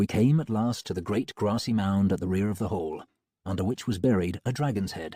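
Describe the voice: Quiet background behind plain reading aloud, the pitch varying in an ordinary way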